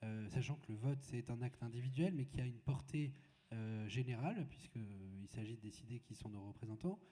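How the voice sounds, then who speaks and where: Speaking at a moderate pace, a man uses a medium pitch and ordinary pitch variation. His dark, mellow tone is somewhat breathy. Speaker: moderator. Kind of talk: panel discussion. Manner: halting.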